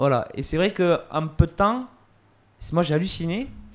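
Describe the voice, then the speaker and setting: A man's high-pitched voice with lively intonation. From Montauban area, France. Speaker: podcast host. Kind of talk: podcast interview.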